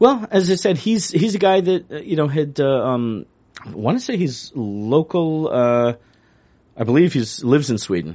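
With an American accent, a man speaks in a dark, mellow tone at a fairly high pitch, his pitch swinging very widely. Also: moderate pace. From upstate New York. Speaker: sports podcast co-host. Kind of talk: casual chat. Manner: halting.

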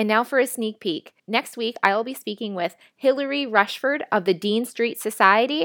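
A woman with an unremarkable speaking voice talks at a moderate pace in a fairly high pitch with ordinary pitch variation, the recording very clean with a silent background and a dry, close sound with no echo. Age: 30s. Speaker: podcast host. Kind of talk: scripted narration; interview. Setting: hotel room for intro and outro; studio microphone for the interview.

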